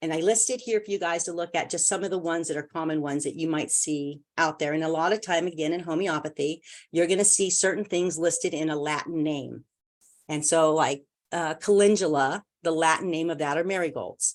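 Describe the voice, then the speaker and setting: Against a quiet background, a woman with a normal speaking voice talks at a fairly quick pace in a fairly low pitch with fairly even intonation. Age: 60s. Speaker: homeopathy consultant. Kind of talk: lecture. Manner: casual, with fillers and repetitions.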